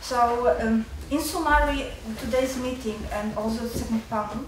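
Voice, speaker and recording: A woman with an Eastern European accent, fairly high-pitched and fairly slow, with audible room echo and noticeable background noise. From Poland. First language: Polish. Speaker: student. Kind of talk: audience comment at seminar. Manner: halting.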